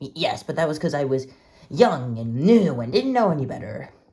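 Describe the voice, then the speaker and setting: This is a put-on character voice at a low-to-middle pitch. It moves at a moderate pace. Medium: audio drama.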